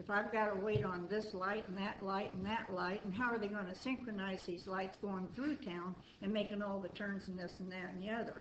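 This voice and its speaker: A woman with an American accent speaks at a medium pitch and a moderate pace in a flat monotone. The room echo is audible, and background noise is noticeable. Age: 70s. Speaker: resident speaking at public meeting. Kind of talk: public comment at city meeting. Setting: city board meeting room.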